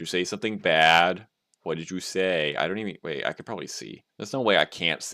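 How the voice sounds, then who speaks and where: A man with an American accent speaks at a fairly quick pace in a very deep, low voice with a bright, sharp tone. His delivery is animated, with big swings in loudness and ordinary pitch variation. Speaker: game developer streamer. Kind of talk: casual live stream chat.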